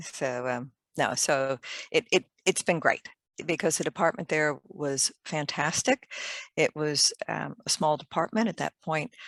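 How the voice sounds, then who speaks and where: An American accent at a fairly slow pace, with ordinary pitch variation and a dry, close sound with no echo. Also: woman, very deep, low pitch for a woman. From US, Maryland. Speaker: fire engineer, company director. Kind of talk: interview.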